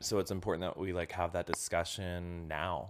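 A man's very deep, low voice with an American accent, moderate pace and monotone, flat intonation on a very clean recording with a silent background. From Indonesia (American missionary community). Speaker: comedian and writer. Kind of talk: casual chat. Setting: host's living room.

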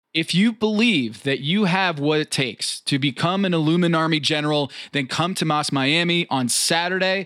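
On a very clean recording with a silent background, a man with an American accent speaks in a bright, sharp tone at a fairly high pitch, his loudness very even. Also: ordinary pitch variation, moderate pace. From New York. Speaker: podcast host. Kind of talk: casual banter, mock-serious rant. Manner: animated, boastful.

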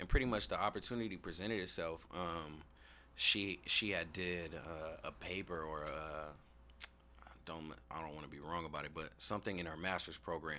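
The voice has a bright, sharp tone, ordinary pitch variation and an American accent. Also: man, very deep, low pitch for a man, moderate pace. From Tacoma, Washington, US. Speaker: community organizer and event coordinator. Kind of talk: casual interview.

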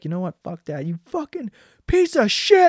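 A put-on character voice at a fairly high pitch makes very wide pitch swings. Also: moderate pace. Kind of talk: profane. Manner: aggressive.

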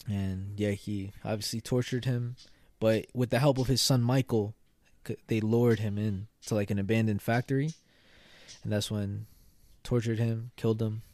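A man speaks at a moderate pace with a dark, mellow tone and medium pitch. His intonation is monotone and flat, broken by long, frequent pauses. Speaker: podcast co-host. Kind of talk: casual chat; true crime storytelling.

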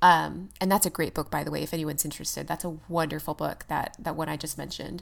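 Fairly low-pitched woman's voice with vocal fry, on a very clean recording with a silent background. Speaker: podcast co-host. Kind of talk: casual chat.

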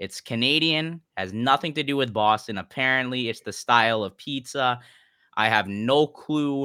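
A man talks in an ordinary speaking voice at a medium pitch, with ordinary pitch variation and a moderate pace. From Canada. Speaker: sports journalist. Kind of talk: casual chat.

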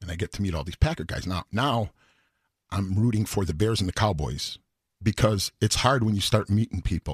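With an American accent, a man talks at a fairly quick pace in a somewhat breathy, fairly low voice, recorded with a dry, close sound and no echo. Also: ordinary pitch variation, very clean recording, silent background. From Chicago, South Side. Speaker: singer. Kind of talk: casual chat. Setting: studio.

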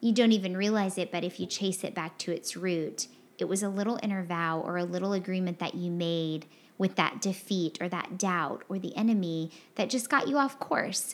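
Delivered at a moderate pace with ordinary pitch variation, an ordinary speaking voice with an American accent comes through on a very clean recording with a silent background. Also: woman, medium pitch for a woman. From Texas. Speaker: podcast co-host. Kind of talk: casual chat.

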